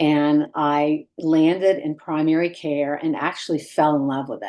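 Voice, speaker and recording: Against a quiet background, a woman speaks fairly slowly in a very deep, low register with monotone, flat intonation. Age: 60s. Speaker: physician and wellness coach. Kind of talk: online group talk. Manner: hesitant, many fillers.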